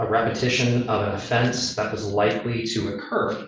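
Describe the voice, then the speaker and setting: Audible room echo surrounds a man whose medium-pitched voice is somewhat breathy and flat, with monotone intonation. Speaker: attorney for the defense. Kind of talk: legal argument in court. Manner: halting, many filler ums.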